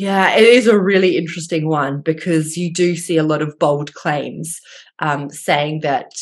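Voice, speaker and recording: A woman speaks with an Australian accent at a moderate pace. Her pitch is very deep and low, and her intonation is fairly even. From rural Australia. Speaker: dietitian and gut health researcher. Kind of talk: interview.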